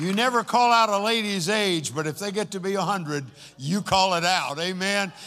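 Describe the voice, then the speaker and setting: A man speaks in a raised, projected voice with a bright, sharp tone. His pitch is high, with ordinary variation, and his pace is moderate. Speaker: pastor. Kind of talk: church service address. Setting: church. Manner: animated.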